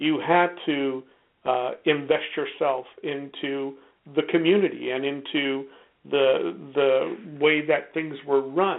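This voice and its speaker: The man's pitch is fairly high. His intonation stays fairly even. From Hungary, raised in Cleveland, Ohio from age five. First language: Hungarian. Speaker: guest. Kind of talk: interview discussion.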